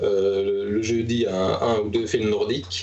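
With audible echo in the room and noticeable noise behind him, the man speaks fairly slowly. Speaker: film distributor and festival director. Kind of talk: casual chat. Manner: halting, searching for words.

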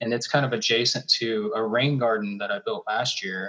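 With an American accent, a man in a normal speaking voice talks at a fairly quick pace with lively intonation. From US South, Charlotte, North Carolina. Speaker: artist and art professor. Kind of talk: casual chat.

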